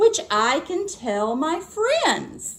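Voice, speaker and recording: A woman puts on a character voice with an extremely high pitch. Her pitch swings very widely. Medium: read story. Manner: grumbling.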